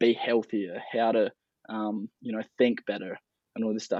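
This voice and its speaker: A man at medium pitch, moderate pace, with monotone, flat intonation. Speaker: founder of a lifestyle brand. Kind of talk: interview conversation. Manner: rambling, filler-heavy.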